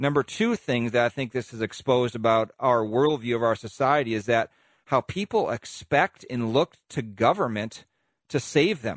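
An ordinary speaking voice from a man with an American accent, at a moderate pace with ordinary pitch variation, dry and close with no echo over a quiet background. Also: medium pitch for a man. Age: 50s. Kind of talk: radio commentary.

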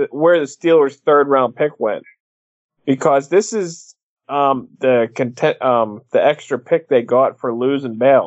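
A man's normal speaking voice, fairly high in pitch, at a fairly slow pace. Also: ordinary pitch variation. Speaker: podcast co-host. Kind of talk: casual banter about NFL draft.

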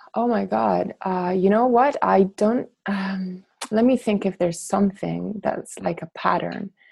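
Speaking at a fairly slow pace with hardly any pauses, a woman uses a medium pitch, ordinary pitch variation and a somewhat breathy voice. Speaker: startup founder and CEO. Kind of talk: interview.

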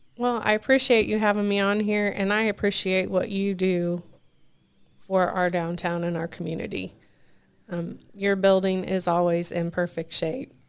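With an unremarkable speaking voice, a woman in an American accent talks at medium pitch and a moderate pace with fairly even intonation. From US Midwest, Richmond, Indiana. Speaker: pub owner. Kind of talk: interview.

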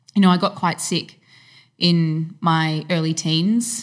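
An unremarkable speaking voice from a woman, fairly low in pitch, with fairly even intonation. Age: 30s. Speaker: fitness professional and personal trainer. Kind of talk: casual chat.

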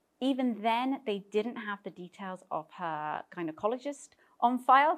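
In a British accent, a woman speaks with a fairly high pitch and ordinary pitch variation. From Britain. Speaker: tech startup founder. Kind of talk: interview.

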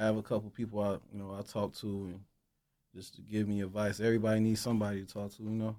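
A man's very fast, monotone, flat delivery, fairly low in pitch and dark and mellow in tone, on a very clean recording with a silent background. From Chicago, South Side. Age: 30s. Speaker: music executive. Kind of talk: interview. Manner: casual, many fillers.

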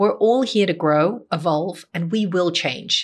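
At a moderate pace, a woman with an ordinary speaking voice talks in a fairly low pitch. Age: 30s. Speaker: leadership and life coach. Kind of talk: solo podcast monologue.

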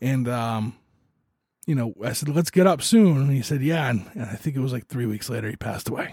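A man's somewhat breathy, dark and mellow voice at a medium pitch, fairly quick in pace, with ordinary pitch variation. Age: 40s. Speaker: podcast host. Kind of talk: personal monologue. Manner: halting.

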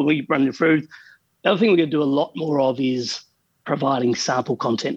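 Talking at a very fast pace, a man with an Australian accent has a fairly high voice with ordinary pitch variation. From Australia, Adelaide. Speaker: founder of accounting software company. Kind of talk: interview.

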